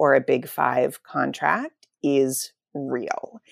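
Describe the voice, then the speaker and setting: The sound is dry and close, without any echo. A woman talks with an American accent. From Pittsburgh, Pennsylvania. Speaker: author. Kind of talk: interview.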